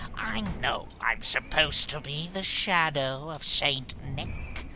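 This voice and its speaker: A put-on character voice at a middle pitch moves at a very slow pace against clear background noise. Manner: brash, sarcastic, slangy.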